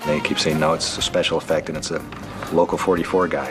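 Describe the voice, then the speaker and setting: Over music in the background, a man with a very deep, low pitch speaks at a very fast pace. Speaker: puppeteer. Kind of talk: interview answer.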